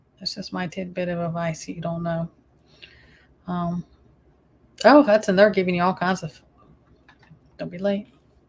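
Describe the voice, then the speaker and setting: Somewhat breathy and fairly low-pitched, a woman with a Southern US accent talks at a fairly quick pace with fairly even intonation, big swings in loudness, and long, frequent pauses. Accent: Southern US accent, she doubts it is thick. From US South. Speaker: YouTube live streamer. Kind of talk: casual live-stream chat.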